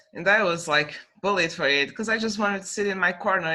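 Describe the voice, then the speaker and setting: A woman speaks in a Portuguese accent. Her tone is bright and sharp, with ordinary pitch variation. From Portugal. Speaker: young adult novelist. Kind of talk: casual interview chat.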